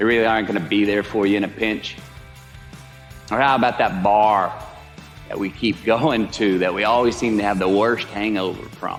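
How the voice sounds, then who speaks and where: A man's fairly low, relaxed voice with fairly even intonation and long, frequent pauses, music in the background. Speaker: actor. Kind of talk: motivational speech. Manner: relaxed, drawling.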